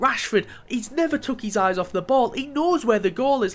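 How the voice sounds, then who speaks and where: A man talks at a fairly quick pace. His tone is animated. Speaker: gaming youtuber. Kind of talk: gameplay commentary. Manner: stumbling over words.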